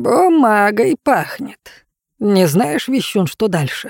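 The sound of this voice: Doing a put-on character voice, a woman speaks slowly at a medium pitch with a slightly mellow tone, vocal fry and big pitch swings, the sound dry and close with no echo.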